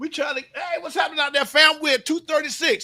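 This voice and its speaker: The voice is raised and projected. Its tone is animated, bright and sharp. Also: man. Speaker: live show host. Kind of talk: casual chat.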